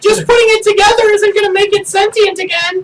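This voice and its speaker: A squeaky, put-on character voice at an extremely high pitch delivers its lines at a very fast pace. The intonation is monotone and flat. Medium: actual play.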